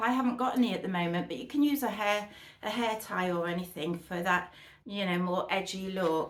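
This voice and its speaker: Lively intonation marks a woman speaking with a British accent. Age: 60s. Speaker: fashion vlogger. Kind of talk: try-on haul chat. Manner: chatty, enthusiastic.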